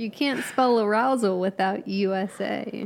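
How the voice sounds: Speaking at a fairly slow pace, a woman has a medium pitch and vocal fry. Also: ordinary pitch variation.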